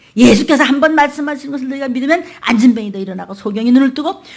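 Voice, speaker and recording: A woman's high-pitched voice at a very fast pace, with noticeable background noise. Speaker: pastor. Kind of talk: sermon. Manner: animated.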